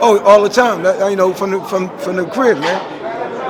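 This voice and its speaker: With crowd noise in the background and audible room echo, a man talks in a high voice with lively intonation. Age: 60s. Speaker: boxing trainer. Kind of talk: interview. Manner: halting.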